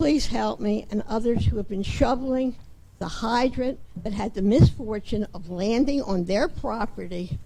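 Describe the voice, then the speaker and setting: A woman with an American accent speaks in a fairly high pitch, with vocal fry and a dark, mellow tone, in audible room echo. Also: ordinary pitch variation, moderate pace. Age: 80s+. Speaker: resident speaking at public comment. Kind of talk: public comment at council meeting. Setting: town council meeting.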